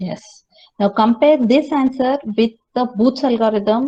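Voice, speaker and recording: The woman's voice is dark, mellow, and somewhat breathy at a fairly high pitch. She uses ordinary pitch variation. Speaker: college lecturer. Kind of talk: lecture. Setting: classroom with students. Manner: slow.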